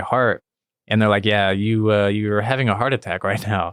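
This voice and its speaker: With an American accent, a man speaks very fast in a fairly low pitch and a monotone, flat intonation. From Missouri, small town near St. Louis. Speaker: cartoonist and comedian. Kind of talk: casual interview chat. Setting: studio.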